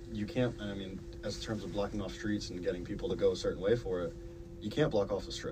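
Speech comes at a very fast pace over noticeable background noise, with audible room echo. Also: man. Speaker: student podcast host. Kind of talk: casual chat.

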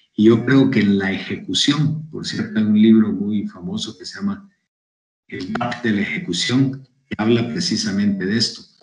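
At a moderate pace, a man with a medium pitch and ordinary pitch variation speaks with big swings in loudness and audible room echo. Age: 70s. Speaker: business consultant. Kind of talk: interview.

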